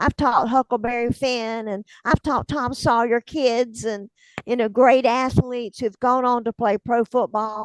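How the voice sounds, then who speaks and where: Here is a woman with a strong Southern US accent, speaking at a fairly slow pace and fairly high pitch with fairly even intonation. The sound is dry and close with no echo, over a quiet background. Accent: thick Southern drawl. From US South, north Florida (Hamilton County). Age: 70s. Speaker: author, retired teacher. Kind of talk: interview. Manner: conversational.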